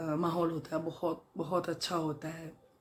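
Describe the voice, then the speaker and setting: A woman speaks in a very deep, low voice with a monotone, flat delivery. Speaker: vlogger. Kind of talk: casual vlog talk. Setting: at home. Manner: hesitant, with fillers.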